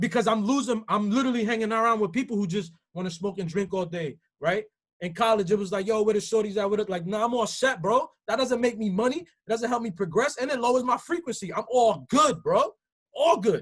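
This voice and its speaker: Speaking in an animated tone with an American accent, a man with a high pitch moves at a fairly quick pace with ordinary pitch variation. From New York, the Bronx. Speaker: motivational speaker. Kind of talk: motivational talk.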